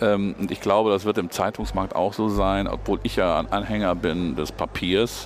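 A man talks with fairly even intonation while noticeable background noise carries on behind him. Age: 50s. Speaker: state politician, former journalist. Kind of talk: interview. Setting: parliament building foyer.

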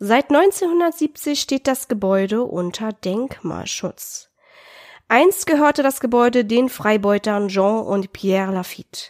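At a very slow pace, a woman with a fairly high pitch makes very wide pitch swings, heard on a very clean recording with a silent background and a dry, close sound with no echo. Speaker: podcast co-host. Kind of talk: scripted narration; casual chat.

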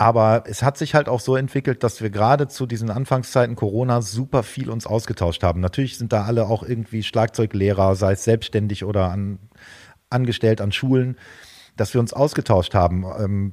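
Here a man uses an ordinary speaking voice at a moderate pace. His pitch is medium, with ordinary variation. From northwestern Germany, Osnabrück. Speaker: drummer and drum teacher. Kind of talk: interview. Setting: video call.

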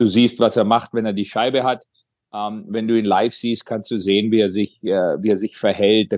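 In a dry, close recording with no echo and a quiet background, a man speaks at a moderate pace, his fairly low voice monotone and flat. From Bavaria, Germany (Kaufbeuren). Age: 40s. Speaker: ice hockey sports director, former player. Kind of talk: casual interview.

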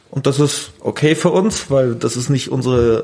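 There is noticeable background noise as a man speaks at a medium pitch with ordinary pitch variation. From Bavaria, Grünwald near Munich. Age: 20s. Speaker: innkeeper. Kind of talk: casual interview. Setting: in a restaurant.

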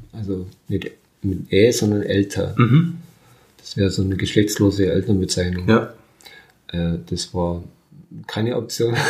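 Somewhat breathy, a man speaks with ordinary pitch variation and long, frequent pauses. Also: fairly low pitch for a man, fairly slow pace. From Bavaria, Burghausen area. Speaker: interviewee sharing her life story. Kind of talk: interview. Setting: at her home.

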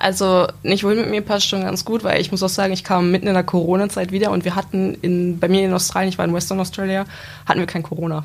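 A woman rattles along at a very fast pace in a monotone, flat delivery, with noticeable background noise. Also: medium pitch for a woman. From Lower Saxony, Gifhorn-Wolfsburg area. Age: 20s. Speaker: apprentice. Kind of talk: casual interview.

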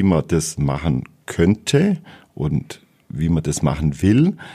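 Speaking very slowly, a man with a dark, mellow tone and vocal fry lets his pitch swing very widely. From Bavaria, Ries area (Swabian-Bavarian). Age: 50s. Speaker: farmer. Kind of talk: interview. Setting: studio.

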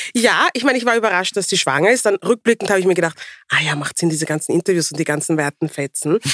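A woman talks at a very fast pace, medium pitch and with lively intonation. The sound is dry and close, with no echo. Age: 40s. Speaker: podcast co-host. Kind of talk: casual chat.

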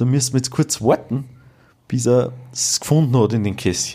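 Dark, mellow tone from a man, pitch varying in an ordinary way. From Austria, rural village. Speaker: podcast co-host. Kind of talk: retelling fairy tales; casual chat. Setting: home dining room.

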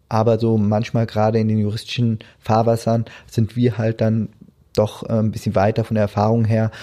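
A dark, mellow tone at a moderate pace over a quiet background. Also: man. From Germany, Hesse region. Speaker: tax office department head, lawyer. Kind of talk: interview. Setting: studio.

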